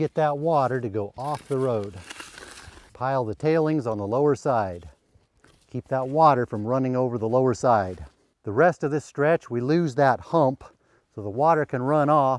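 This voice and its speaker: Recorded dry and close with no echo, a man talks at a moderate pace with a medium pitch and ordinary pitch variation. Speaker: forest landowner. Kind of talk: casual outdoor how-to talk to camera. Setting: outdoors. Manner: occasional stumbles over words.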